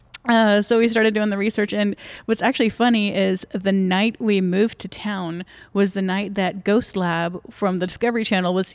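A fairly quick, fairly even-toned delivery with a Texan accent. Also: woman. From Dallas-Fort Worth, Texas. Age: young. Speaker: ghost tour guide. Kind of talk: casual interview.

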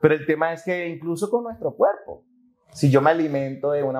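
In a plain, everyday voice, a man speaks at a moderate pace with lively intonation. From Venezuela (Maturín). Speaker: life coach. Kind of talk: podcast interview. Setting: outdoors at a boutique hotel.

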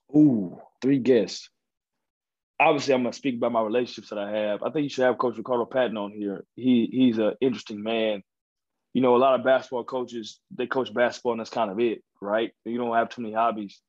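A man with an American accent talks in a normal speaking voice at a medium pitch, keeping a fairly quick pace and fairly even intonation. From Texas, Dallas. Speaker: college basketball coach. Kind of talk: casual interview.

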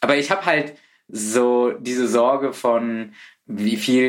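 Pitch varies in an ordinary way as a man talks. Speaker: podcast host. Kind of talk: scripted intro; casual interview.

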